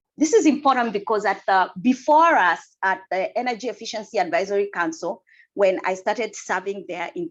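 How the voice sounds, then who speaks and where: A woman speaks with a Kenyan accent at a fairly high pitch. Her pitch swings very widely at a moderate pace. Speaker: energy efficiency council member and housing asset manager. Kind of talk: presentation talk.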